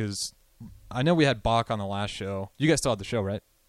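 At a fairly quick pace, a man speaks in a plain, everyday voice with fairly low pitch and ordinary pitch variation, the recording very clean with a silent background and a dry, close sound with no echo. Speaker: radio co-host. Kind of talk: casual radio chat. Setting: studio.

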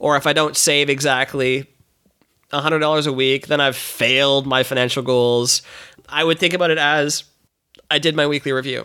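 In a bright, sharp tone, a man with a fairly high pitch talks monotone with flat intonation and very even loudness, leaving long, frequent pauses. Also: moderate pace. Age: 30s. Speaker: entrepreneur. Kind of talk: casual interview chat.

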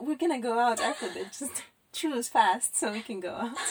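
With lively intonation and a moderate pace, this woman has an ordinary speaking voice. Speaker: podcast co-host. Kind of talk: casual chat.

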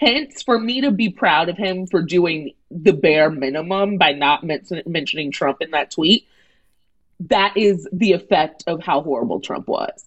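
At a fairly slow pace, a woman with an unremarkable speaking voice and fairly low pitch talks with lively intonation. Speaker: comedy writer and radio host. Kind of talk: casual chat.

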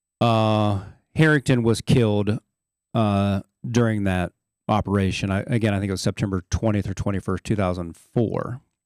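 A man with an American accent has a normal speaking voice, a fairly low pitch and fairly even intonation, talking at a moderate pace in a dry, close sound with no echo. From southeastern Ohio. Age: 50s. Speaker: Marine veteran. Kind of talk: interview testimony.

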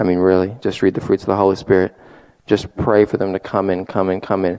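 Fairly low in pitch, a man speaks at a fairly quick pace. His tone is animated. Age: 20s. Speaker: young guest preacher. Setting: church service. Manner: fervent, emphatic preaching with rapid repetitions and filler 'I mean'; restless and animated, moving back and forth while speaking.

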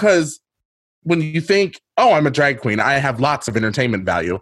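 Vocal fry runs through a man's fairly quick speech, which has very wide pitch swings. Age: 30s. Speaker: drag queen and podcaster. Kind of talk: casual interview chat.

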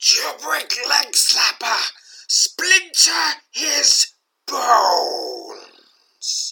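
A raspy, put-on character voice drags along at a very slow pace. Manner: chilling, commanding.

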